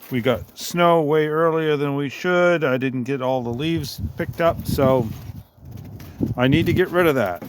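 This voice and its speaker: Noticeable background noise runs beneath speech whose pitch varies in an ordinary way. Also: man. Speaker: small engine DIY owner. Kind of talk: casual how-to talk to camera.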